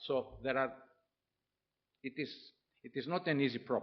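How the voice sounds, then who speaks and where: This man's voice sits at a medium pitch. Vocal fry runs through his speech. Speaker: professor. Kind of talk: lecture. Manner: halting.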